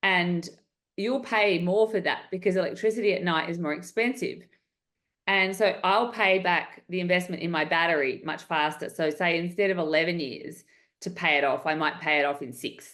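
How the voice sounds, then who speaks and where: The speaker has an Australian accent and ordinary pitch variation. The background is quiet. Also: woman, fairly low pitch for a woman. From Western Australia. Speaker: entrepreneur. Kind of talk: interview. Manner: fast.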